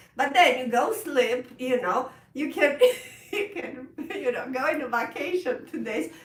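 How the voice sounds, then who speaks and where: A woman's high-pitched voice at a fairly slow pace, with very wide pitch swings, big swings in loudness, and noticeable background noise. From Romania. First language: Romanian. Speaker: piano teacher. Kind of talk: live stream chat. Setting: live stream. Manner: halting.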